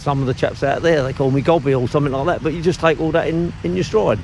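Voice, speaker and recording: A man with an Essex accent talks at a very fast pace. His pitch is fairly high with ordinary variation, and background noise is noticeable. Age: 60s. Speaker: cockle fisherman. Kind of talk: documentary interview. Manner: talkative.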